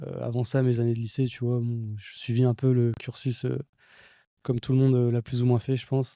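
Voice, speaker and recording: A man with a dark, mellow tone speaks at medium pitch in a monotone, flat intonation. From central France, near Blois. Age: 20s. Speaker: e-commerce entrepreneur. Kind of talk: podcast interview. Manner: casual, hesitant with many fillers.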